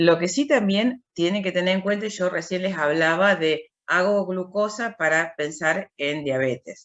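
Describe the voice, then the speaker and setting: In an ordinary speaking voice, a woman of medium pitch speaks at a fairly slow pace with hardly any pauses and ordinary pitch variation. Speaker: university lecturer. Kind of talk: lecture. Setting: video call.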